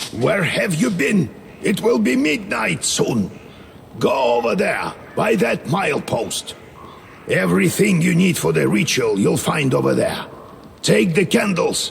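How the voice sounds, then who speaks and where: A man does a put-on character voice, raspy and fairly high in pitch, at a fairly slow pace. His loudness stays very even, and background noise is clearly audible. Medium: video game. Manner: stern, commanding.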